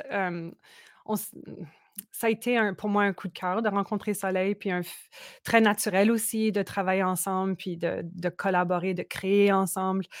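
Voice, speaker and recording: On a very clean recording with a silent background and a dry, close sound with no echo, a woman speaks fairly slowly at a medium pitch in a monotone, flat delivery. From Manitoba, Canada (Franco-Manitoban Métis village). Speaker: singer-songwriter. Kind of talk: casual interview.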